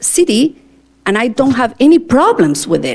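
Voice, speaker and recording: A woman with an Argentine accent and very wide pitch swings. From Argentina, Cordoba. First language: Spanish. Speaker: teacher and school board candidate. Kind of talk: interview answers at public board meeting. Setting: board meeting with microphone. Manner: talkative.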